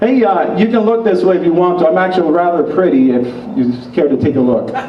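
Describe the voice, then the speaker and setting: Speech comes at a very fast pace with lively intonation. Audible room echo and noticeable background noise surround it. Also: man, high pitch for a man. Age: 60s. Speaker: political activist. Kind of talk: rally speech. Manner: confrontational.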